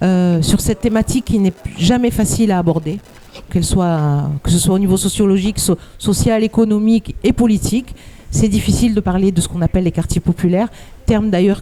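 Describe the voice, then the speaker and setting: A woman talks fairly quickly at a medium pitch with ordinary pitch variation. Her loudness stays very even over noticeable background noise. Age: 60s. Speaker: activist. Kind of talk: conference talk. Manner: halting.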